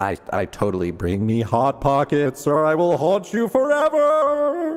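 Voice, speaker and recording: A man puts on a character voice with a fairly high pitch. He speaks at a moderate pace. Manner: spooky, haunting.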